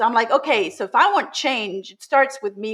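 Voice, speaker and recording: Her pitch high and swinging very widely, a woman speaks with a German accent. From Germany, Swabia (Baden-Württemberg). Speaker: school founder and communication trainer. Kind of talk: interview.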